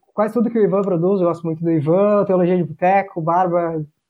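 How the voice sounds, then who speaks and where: The man's voice is high. He moves at a fairly quick pace with ordinary pitch variation. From Santa Catarina, Brazil.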